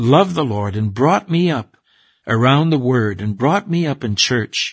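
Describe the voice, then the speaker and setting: In a quiet background, a somewhat breathy voice moves at a fairly slow pace with very wide pitch swings. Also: man. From Six Nations reserve, Ontario, Canada. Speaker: preacher. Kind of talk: testimony.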